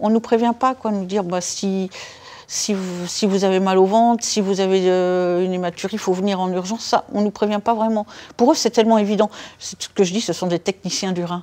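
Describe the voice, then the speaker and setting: At a fairly quick pace, a woman talks with fairly even intonation. Her pitch is medium. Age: 60s. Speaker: patient with polycystic kidney disease. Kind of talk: casual chat, patient testimony. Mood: calm, reflective. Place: home room.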